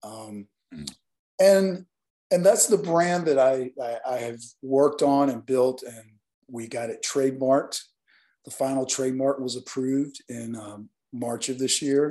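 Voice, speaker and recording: At a fairly slow pace with long, frequent pauses, a man with a Southern US accent speaks at a medium pitch in a dark, mellow tone with ordinary pitch variation. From Alabama. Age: 50s. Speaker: nightlife event promoter. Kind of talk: interview.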